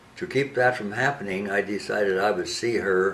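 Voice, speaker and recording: Moderate-paced speech from a man, noticeable background noise behind him. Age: 90s. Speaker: elderly husband and caregiver. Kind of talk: personal appeal monologue. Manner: halting.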